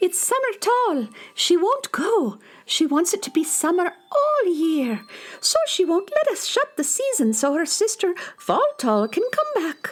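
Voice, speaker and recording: The put-on character voice is squeaky and extremely high-pitched, with very wide pitch swings at a fairly slow pace. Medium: audio drama.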